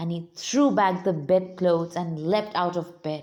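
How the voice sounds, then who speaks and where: Her pitch fairly low and her intonation fairly even, a woman talks very slowly. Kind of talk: read story. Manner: soothing.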